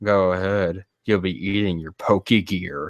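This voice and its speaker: A man's put-on character voice, very deep and low, at a moderate pace on a very clean recording with a silent background. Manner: menacing, warning.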